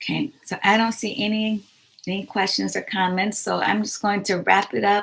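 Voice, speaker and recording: A woman's bright, sharp voice at medium pitch, with fairly even intonation, on a very clean recording with a silent background. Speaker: writing livestream host. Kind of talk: livestream chat to viewers. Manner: hesitant, many fillers.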